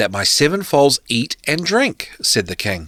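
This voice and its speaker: A man with a New Zealand accent speaks at a fairly slow pace with vocal fry and very wide pitch swings, in a dry, close sound with no echo on a very clean recording with a silent background. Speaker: podcast host. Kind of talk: reading aloud.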